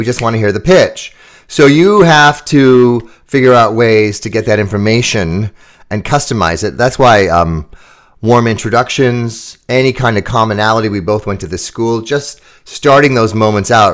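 A man with an American accent and a normal speaking voice, medium pitch, ordinary pitch variation and a moderate pace, on a very clean recording with a silent background. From US Midwest, Chicago suburbs. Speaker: keynote speaker and sales author. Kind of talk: interview.

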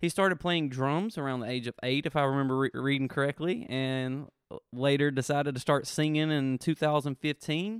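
The speaker has a Southern US accent and a fairly quick pace. Pitch variation is ordinary. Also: man, fairly high pitch for a man. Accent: Southern US (Georgia). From Georgia, US South (Thomaston). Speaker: podcast host. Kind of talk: casual chat.

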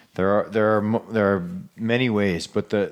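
A man with a normal speaking voice at a moderate pace. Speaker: podcast host, osteopath. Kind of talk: casual chat, business podcast.

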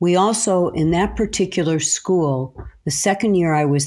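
This woman has a dark, mellow tone and an American accent, speaking at a fairly slow pace. Her pitch varies in an ordinary way, on a very clean recording with a silent background. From US Midwest, Chicago. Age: 70s. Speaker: retired teacher. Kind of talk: interview.

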